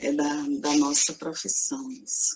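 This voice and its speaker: A soft-spoken woman talks with very wide pitch swings. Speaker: university professor. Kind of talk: lecture. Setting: video conference. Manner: slow, measured.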